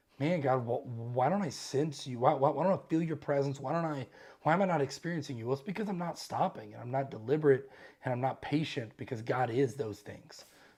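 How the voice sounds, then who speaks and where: This man talks at a very fast pace in a fairly high, somewhat breathy voice. His pitch varies an ordinary amount. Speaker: book club host. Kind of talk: casual discussion.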